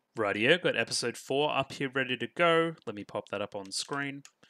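Against a quiet background, a man speaks in an Australian accent. His voice sits at a medium pitch with a bright, sharp tone. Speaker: anime reaction youtuber. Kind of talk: reaction video commentary. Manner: animated. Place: home room. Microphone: headset.

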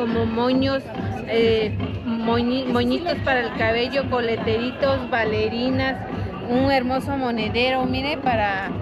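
Over clear crowd noise and clear music in the background, a woman with a fairly high pitch speaks at a fairly slow pace with fairly even intonation.

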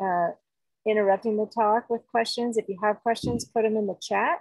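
The intonation is fairly even. The sound is dry with no echo, and the background is quiet. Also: woman. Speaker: webinar co-host. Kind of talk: meeting announcements. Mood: friendly, relaxed. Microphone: video call.

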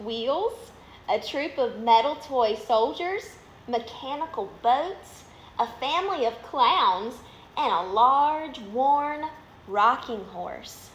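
With a Southern US accent, a woman speaks at a very slow pace in a warm, gentle tone with lively intonation, some room echo and light background noise. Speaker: minor league baseball team media relations manager reading stories. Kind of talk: bedtime story reading aloud to children, live online. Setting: live video on social media, at home. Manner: warm, gentle, animated storyteller pace; friendly, upbeat. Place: home room. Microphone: phone near.

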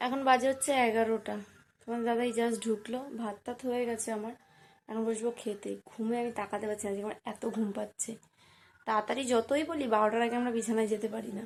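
A fairly high-pitched woman's voice in monotone, flat intonation, on a very clean recording with a silent background. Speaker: vlogger. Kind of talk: casual vlog narration. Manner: stuttering.

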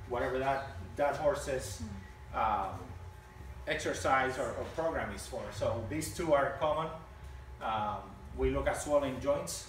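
A man at a fairly slow pace with long, frequent pauses, audible room echo and light background noise. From Puerto Rico. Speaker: equine veterinarian. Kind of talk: educational talk to live audience. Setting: outdoors. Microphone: camera far.

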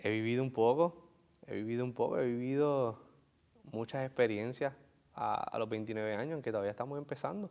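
This man speaks with a Puerto Rican accent at a moderate pace. His pitch is medium, with ordinary variation. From Puerto Rico. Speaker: author and entrepreneur. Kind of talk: interview. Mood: warm, smiling, grateful. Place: studio. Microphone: lapel.

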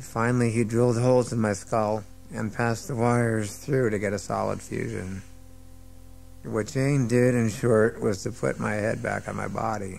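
Faint music plays in the background. A man talks at a moderate pace with fairly even intonation. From United States. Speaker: actor. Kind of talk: audiobook narration. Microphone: old recording.

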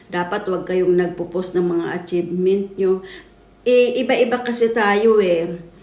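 Amid noticeable background noise and audible room echo, a woman speaks at a fairly slow pace and medium pitch with fairly even intonation. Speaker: vlogger. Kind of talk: reaction video commentary. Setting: talking to camera at home. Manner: halting.

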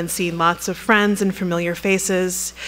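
A woman is talking. Her pace is fairly quick. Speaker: museum curator introducing a lecture. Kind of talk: introductory speech. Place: hall. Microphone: podium.

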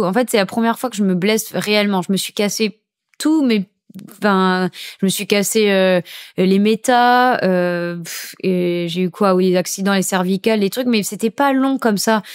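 A woman at a moderate pace, her loudness very even, over a quiet background. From Saint-Martin (Caribbean). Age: 20s. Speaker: professional surfer; podcast guest. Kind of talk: casual chat. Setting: at guest's home. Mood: cheerful, smiling. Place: studio. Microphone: studio mic.

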